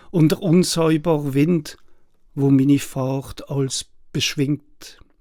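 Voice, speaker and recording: This man speaks with an Alsatian accent at a fairly high pitch, keeping his intonation fairly even. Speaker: poet and translator. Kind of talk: poetry reading.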